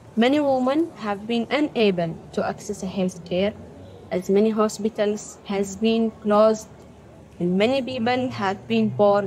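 The woman's pitch is medium, with ordinary variation, at a fairly slow pace. Noticeable background noise runs under her voice. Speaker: doctor and aid worker. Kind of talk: testimony.

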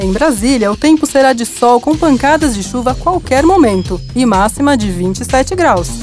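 With clear music in the background, a woman speaks at a high pitch and a moderate pace, her intonation lively and the sound dry with no echo. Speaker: voice-over artist. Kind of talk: weather forecast read. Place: booth.

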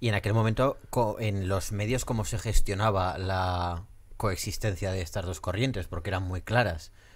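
A man's somewhat breathy, fairly low voice with fairly even intonation. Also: moderate pace. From Spain, Zaragoza. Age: 30s. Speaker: podcast host. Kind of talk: interview. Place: studio. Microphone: studio mic.

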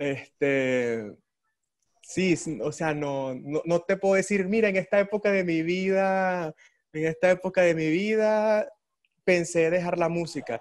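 At a very slow pace, a man with a high pitch speaks against a quiet background. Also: ordinary pitch variation. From Venezuela, Ciudad Bolívar; Venezuela. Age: 20s. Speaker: orchestra violist; interviewee. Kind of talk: interview. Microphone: video call.

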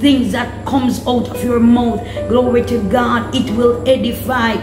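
Clear music plays in the background while the speaker talks at a moderate pace. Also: woman. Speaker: prayer minister. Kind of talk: sermon. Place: home room. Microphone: phone near.

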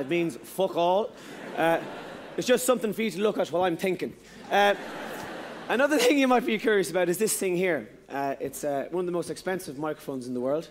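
A man with an Irish accent talks at a very fast pace in a high voice. His pitch swings very widely, with light background noise behind him. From Ireland. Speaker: stand-up comedian. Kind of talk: live stand-up comedy. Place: stage. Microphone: headset.

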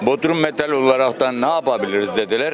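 A man with lively intonation at a moderate pace, dry sound with no echo, and noticeable background noise. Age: 60s. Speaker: architect and shopkeeper. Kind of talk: street interview. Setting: outdoors. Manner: animated. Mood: aggrieved, emphatic. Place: street. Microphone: handheld.

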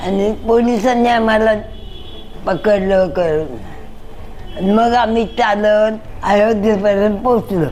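Music runs underneath. A woman talks, her pitch varying in an ordinary way. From Mumbai, India. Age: 80s+. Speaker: former Ram temple movement volunteer. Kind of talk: interview answer, recalling memories.

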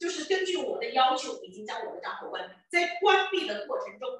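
In a room with strong echo, a woman projects a raised voice with a bright, sharp tone, very wide pitch swings and a moderate pace. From Chengdu, Sichuan, China; Sichuan, China. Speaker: entrepreneur and business recruitment speaker; presenter. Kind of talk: sales pitch. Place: hall. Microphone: handheld.

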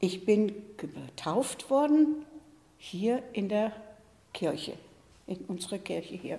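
Her voice is somewhat breathy, with a dark, mellow tone and lively intonation. The woman speaks at a very slow pace. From Eschwege, northern Hesse, Germany. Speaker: contemporary witness. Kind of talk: oral history recollection. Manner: hesitant, conversational. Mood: calm, reflective storytelling. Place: studio.

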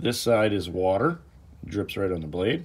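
Speaking at a moderate pace, a man uses lively intonation at a fairly low pitch. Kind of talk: tutorial. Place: workshop.

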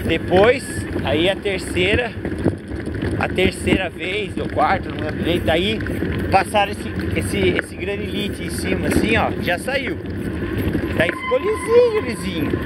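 A man speaks at a fairly slow pace, with long, frequent pauses. Loud background noise fills the dry recording, which has no echo. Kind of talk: casual chat while riding. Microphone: camera far.

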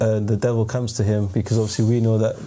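Against clear background noise, a man speaks fast at a fairly low pitch. His pitch barely moves.

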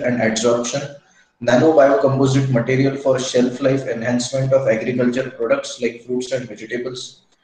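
Audible room echo hangs around the voice of a man. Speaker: session host introducing speaker. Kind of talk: formal introduction. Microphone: video call.

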